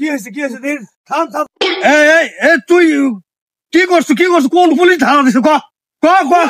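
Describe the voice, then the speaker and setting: A put-on character voice, whiny and high-pitched. It moves at a fairly quick pace. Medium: comedy sketch. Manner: whining, repetitive "sir".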